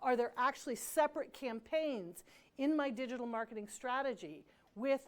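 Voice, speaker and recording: With a plain, everyday voice, a woman speaks at a moderate pace with lively intonation. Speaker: marketing consultant. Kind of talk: lecture.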